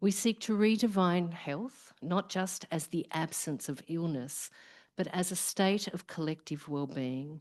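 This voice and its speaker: A woman with an Australian accent speaks at a fairly slow pace and a fairly low pitch, with ordinary pitch variation over a quiet background. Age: middle-aged. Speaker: professor, research program director. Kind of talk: opening speech at symposium. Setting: live event with audience.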